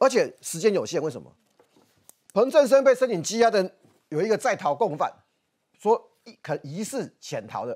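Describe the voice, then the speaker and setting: A high-pitched man at a moderate pace, with very wide pitch swings, big swings in loudness and long, frequent pauses over a quiet background. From Taiwan. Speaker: political commentator. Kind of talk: TV political talk show discussion. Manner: animated. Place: studio.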